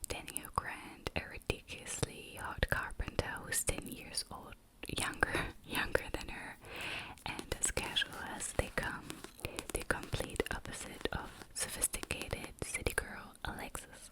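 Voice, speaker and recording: Someone is whispering at a fairly slow pace. Noticeable background noise is present. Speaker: ASMR creator. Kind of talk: reading book back cover aloud. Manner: whispered.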